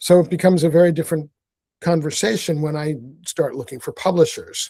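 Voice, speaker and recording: A man's fairly high voice in an American accent, dark and mellow in tone, at a fairly quick pace with big swings in loudness and fairly even intonation. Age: 60s. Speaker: author and activist. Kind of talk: casual chat.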